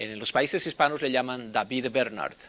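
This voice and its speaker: A man with a Mexican accent speaks in a bright, sharp tone. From Bolivia. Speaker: Bible instructor. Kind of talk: personal introduction. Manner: casual, with many filler sounds.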